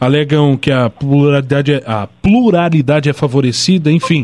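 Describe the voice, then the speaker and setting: A man's fairly high voice at a moderate pace with ordinary pitch variation, amid noticeable background noise. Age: 20s. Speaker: radio host. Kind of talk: radio interview.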